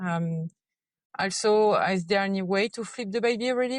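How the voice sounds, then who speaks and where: With a French accent, a woman talks at a fairly quick pace and medium pitch. Her intonation is fairly even, and the sound is dry and close with no echo. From France. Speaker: listener caller, mother. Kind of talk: recorded voice message question.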